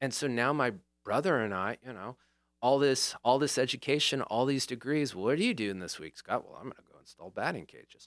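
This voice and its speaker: In an ordinary speaking voice, a man with an American accent talks at a fairly quick pace and medium pitch, with big swings in loudness, on a very clean recording with a silent background. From northern California. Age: 50s. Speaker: lawyer and restaurant owner. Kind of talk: casual chat.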